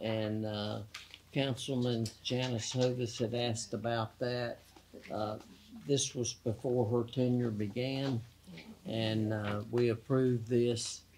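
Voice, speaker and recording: A man speaks very slowly in a Southern US accent. His medium-pitched voice has monotone, flat intonation. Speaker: mayor chairing council meeting. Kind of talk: council meeting. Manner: formal.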